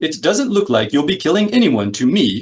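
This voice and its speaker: A man puts on a character voice, pitched fairly high, swinging very widely in pitch at a moderate pace. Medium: read story. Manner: prim, fussy.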